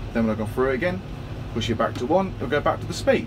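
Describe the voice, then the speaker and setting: With lively intonation, a man speaks over noticeable background noise. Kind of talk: casual tutorial vlog. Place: farm machine. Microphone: phone near.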